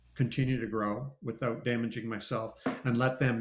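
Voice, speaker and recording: Speaking in a Canadian accent at a moderate pace, a man keeps a medium pitch and a monotone, flat intonation, with vocal fry. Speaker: ex-pastor, cartoonist. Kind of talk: live interview.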